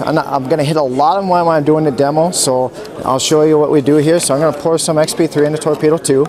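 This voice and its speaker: A man with an American accent talks at a fairly quick pace and fairly high pitch, with fairly even intonation, a dry sound with no echo and noticeable background noise. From Minnesota. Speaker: product demonstrator. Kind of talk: product demonstration. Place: hall.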